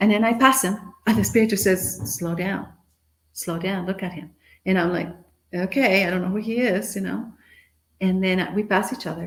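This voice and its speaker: In a room with audible echo, a woman with a medium-pitched, somewhat breathy voice speaks at a moderate pace with ordinary pitch variation and long, frequent pauses. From Guatemala. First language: Spanish. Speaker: motivational speaker. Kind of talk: conference talk, storytelling. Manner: animated.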